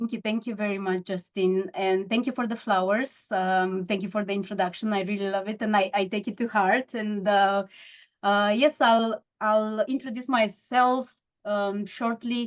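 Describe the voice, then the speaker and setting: A woman talks at a moderate pace with fairly even intonation. She has a Romanian accent. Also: medium pitch for a woman. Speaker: mindfulness coach. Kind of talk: interview. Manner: halting.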